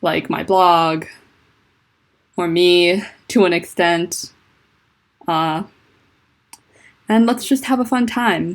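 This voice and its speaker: Pausing long and often, a woman talks at a very slow pace with a fairly low pitch and ordinary pitch variation. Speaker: fanfiction writer streaming. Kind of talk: casual livestream chat. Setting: livestream from home on laptop.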